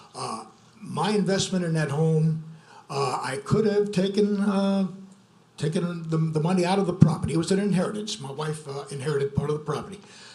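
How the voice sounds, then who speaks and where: A man talks at a high pitch with ordinary pitch variation. The room echo is audible, and there is noticeable background noise. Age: 70s. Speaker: local resident objecting. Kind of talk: public comment. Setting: zoning commission meeting.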